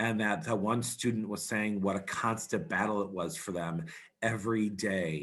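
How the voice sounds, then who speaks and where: A man speaks in an unremarkable speaking voice, fairly low in pitch. His pace is moderate and his pitch variation ordinary. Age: 40s. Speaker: student activities director. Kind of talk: presentation to educators.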